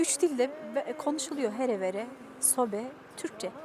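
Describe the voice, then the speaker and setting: Noticeable background noise sits under a woman's high voice. Her pitch varies in an ordinary way. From Dersim, eastern Turkey. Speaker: musician. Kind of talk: interview. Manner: hesitant, many fillers.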